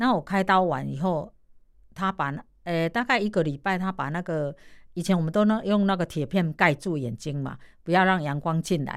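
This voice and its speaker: On a very clean recording with a silent background, a woman talks at a moderate pace with fairly low pitch and ordinary pitch variation. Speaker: massage therapist and street performer. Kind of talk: radio interview, casual.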